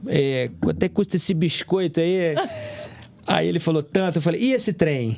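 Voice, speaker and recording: Against noticeable background noise, a high-pitched man speaks at a moderate pace with lively intonation and very even loudness. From Rio de Janeiro, Brazil. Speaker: military police officer. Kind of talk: casual chat.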